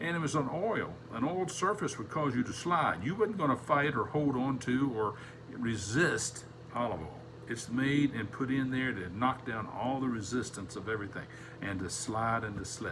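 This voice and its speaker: Here a man at medium pitch talks at a moderate pace with lively intonation. Room echo is audible, and background noise is noticeable. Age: 70s. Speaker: Sunday school teacher. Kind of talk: Bible lesson.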